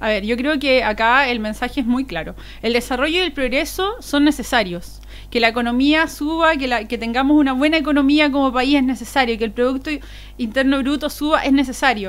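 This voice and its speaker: This woman talks at a fairly quick clip with a high pitch. Her pitch varies in an ordinary way. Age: 30s. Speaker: political candidate. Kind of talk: interview. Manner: fast; fluent, animated.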